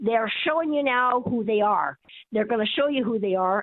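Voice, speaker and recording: With an American accent, a woman speaks at a moderate pace. Her fairly high voice carries lively intonation. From Colorado. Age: 60s. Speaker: caller. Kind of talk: call-in talk radio. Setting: phone call.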